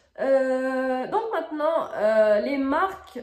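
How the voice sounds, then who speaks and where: Against noticeable background noise and audible room echo, a woman's voice swings very widely in pitch. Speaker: crafts video creator. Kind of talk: casual tutorial review. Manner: hesitant, many fillers.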